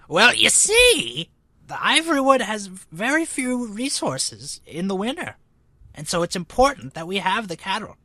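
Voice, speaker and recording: Here is a female-sounding put-on character voice at a fairly high pitch. It moves at a moderate pace with very wide pitch swings. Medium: actual play. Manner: rambling, keeps pausing with 'you see'.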